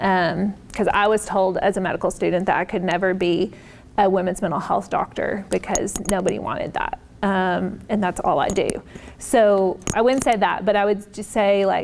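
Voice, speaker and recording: A woman speaks at a moderate pace and medium pitch. Vocal fry runs through her voice. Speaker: psychiatrist. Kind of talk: Q&A after keynote talk. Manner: casual, with many fillers.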